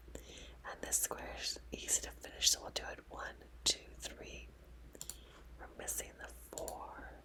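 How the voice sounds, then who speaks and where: Whispering at a very slow pace, a woman's loudness swings widely over noticeable background noise. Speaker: ASMR puzzle streamer. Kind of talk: ASMR puzzle-solving commentary. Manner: whispered, soft-spoken.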